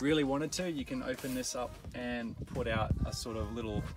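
A man's voice, dry with no echo, over clear music in the background. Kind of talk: casual tour commentary. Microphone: phone near.

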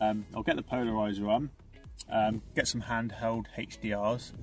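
A man's voice with faint music in the background. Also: dry sound with no echo. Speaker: landscape photographer vlogger. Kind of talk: casual vlog chat. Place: car. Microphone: phone near.

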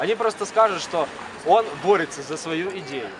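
A man at a moderate pace with ordinary pitch variation, noticeable background noise behind him. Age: young. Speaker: young man in street argument. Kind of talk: street argument. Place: street. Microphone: phone near.

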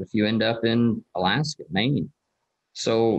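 Against a quiet background, a man speaks in a plain, everyday voice with fairly low pitch. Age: 30s. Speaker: agriculture teacher guest. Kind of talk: casual interview. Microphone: video call.

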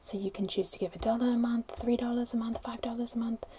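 A woman speaks with a dark, mellow tone and fairly even intonation. Faint background noise sits underneath.

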